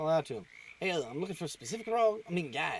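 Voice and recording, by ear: Someone reads aloud in a natural voice.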